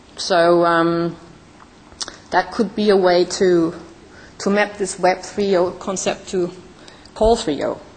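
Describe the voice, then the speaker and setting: A woman with a non-native accent speaks very slowly, leaving long, frequent pauses, in a monotone, flat intonation. Noticeable background noise runs underneath. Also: medium pitch for a woman. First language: not English. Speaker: startup founder, conference speaker. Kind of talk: conference talk.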